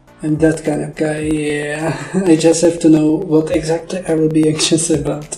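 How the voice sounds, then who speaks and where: With a Czech accent, a man speaks in a fairly high, flat monotone at a moderate pace. He hardly pauses, and music plays in the background. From Czech Republic. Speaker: animator. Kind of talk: scripted narration. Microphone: poor audio quality.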